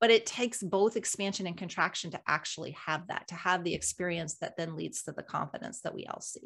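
A woman in a normal speaking voice talks at a fairly quick pace with hardly any pauses. Her pitch is medium with ordinary variation, and her loudness swings widely. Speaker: podcast co-host. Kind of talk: casual conversational livestream.

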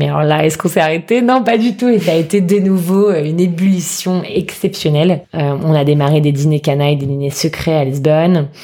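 Speaking fairly quickly with hardly any pauses, a woman uses a very deep, low pitch and ordinary pitch variation. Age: 30s. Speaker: food entrepreneur, former lawyer. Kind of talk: casual interview.

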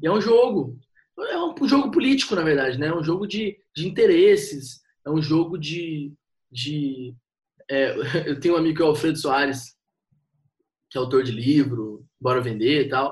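A man with a fairly high, somewhat breathy voice speaks at a moderate pace. His intonation is lively, and he takes long, frequent pauses. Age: 20s. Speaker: copywriter and marketing consultant. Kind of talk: casual chat.

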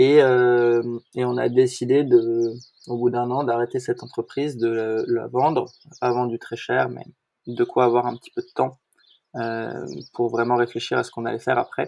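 A man with a dark, mellow tone speaks at a moderate pace and a medium pitch. His intonation is monotone and flat, while his loudness swings widely. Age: 20s. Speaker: co-founder of a light-housing association. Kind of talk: interview. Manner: hesitant, many filler words.

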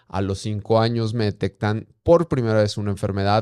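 Recorded very cleanly against a silent background, a man's voice comes through with a dry, close sound and no echo. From Durango, northern Mexico. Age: 30s. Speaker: blind mountaineer and ultramarathon runner. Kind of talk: interview testimony.

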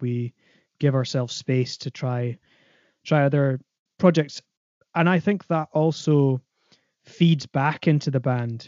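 Speaking at a fairly slow pace with long, frequent pauses, a man with an Aberdeenshire accent uses fairly even intonation and a fairly high pitch. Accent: Scottish (Aberdeenshire). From northeast Scotland, Aberdeenshire. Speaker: composer and double bass player. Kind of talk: interview.

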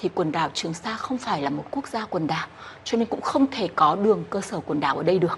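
The speech goes at a fairly quick pace with lively intonation over noticeable background noise. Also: woman. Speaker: legal expert interviewee. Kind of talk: radio interview answer.

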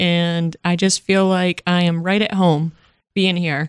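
A woman with an American accent and a normal speaking voice, at a fairly slow pace, in a dry, close sound without echo over a quiet background. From Massachusetts, Worcester area. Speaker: radio station staff member. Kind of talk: interview, casual chat.

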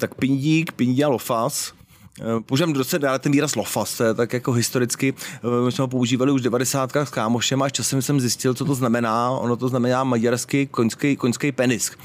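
A man speaks in an ordinary speaking voice at a medium pitch, with fairly even intonation. His loudness stays very even, and his pace is fairly quick. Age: 40s. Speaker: BDSM event organizer and club co-owner. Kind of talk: casual interview. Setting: outdoors.

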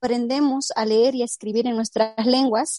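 This woman speaks at a fairly slow pace in a high, dark, mellow voice, recorded dry and close with no echo. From Baja California, Mexico (born in Mixteca Alta, Oaxaca). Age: 20s. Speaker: poet. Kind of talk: interview.

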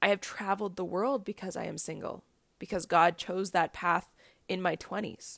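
A woman at medium pitch with vocal fry, in a very clean recording with a silent background. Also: ordinary pitch variation, moderate pace. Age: 30s. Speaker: podcast host. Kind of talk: solo podcast monologue. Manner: laughs often while talking.

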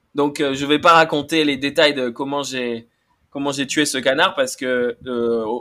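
A man's fairly high voice at a very slow pace, on a very clean recording with a silent background. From France, Bordeaux. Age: young. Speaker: podcast guest, Instagram account owner. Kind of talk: playful storytelling.

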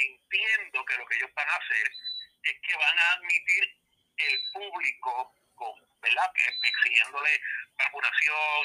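Someone speaks at a fairly slow pace, with a dry, close sound and no echo. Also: man. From Puerto Rico (Ponce/Adjuntas). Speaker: wrestling analyst and podcaster. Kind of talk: casual interview. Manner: halting, many fillers.

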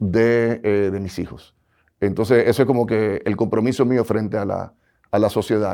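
This man's voice has a dark, mellow tone and fairly low pitch, delivered in a flat monotone. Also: moderate pace, quiet background. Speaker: bank regulator. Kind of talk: interview.

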